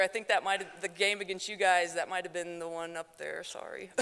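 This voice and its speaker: A woman's medium-pitched voice with an American accent, bright and sharp in tone, fairly even in intonation, at a fairly quick pace. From South Dakota. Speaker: former athlete, teacher and coach. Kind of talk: award acceptance speech. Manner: loud; fast.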